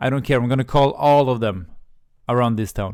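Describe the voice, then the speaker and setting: A man with a Swedish accent and a medium-pitched voice. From Sweden, Helsingborg. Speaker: YouTuber, career coach. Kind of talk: storytime monologue. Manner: halting, many fillers and repeats.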